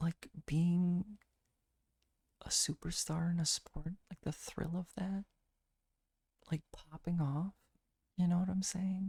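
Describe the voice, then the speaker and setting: Soft-spoken and calm, with a relaxed tone, a man talks at a very slow pace and a high pitch in a dark, mellow, monotone voice with flat intonation and long, frequent pauses, the sound dry and close with no echo. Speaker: ASMR streamer. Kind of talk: casual livestream chat, playing would-you-rather with viewers. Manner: soft-spoken, calm, relaxed.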